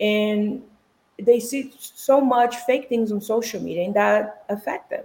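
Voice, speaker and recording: With a Brazilian accent, the voice has a dark, mellow tone and fairly even intonation. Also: woman. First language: Portuguese. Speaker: fashion model and influencer. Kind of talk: interview.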